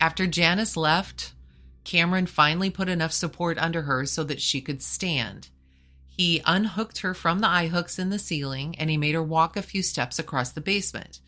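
A woman's fairly low voice, bright and sharp in tone, with vocal fry, a serious tone, ordinary pitch variation and a moderate pace. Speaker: podcast host. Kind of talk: true-crime narration. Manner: grave, measured storytelling delivery; serious, matter-of-fact tone.

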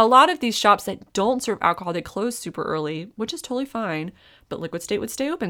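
A woman with an American accent talks at a very fast pace in an animated tone, her medium-pitched voice swinging very widely in pitch. The recording is very clean, with a silent background. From Raleigh, North Carolina. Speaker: podcast guest. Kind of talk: casual chat.

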